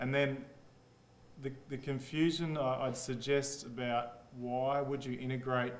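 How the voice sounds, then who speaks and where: With an Australian accent, a man speaks at a medium pitch and a fairly slow pace in monotone, flat intonation, with audible room echo and noticeable background noise. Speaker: engineer presenting at a workshop. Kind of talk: workshop presentation. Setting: conference room with audience. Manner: casual, conversational.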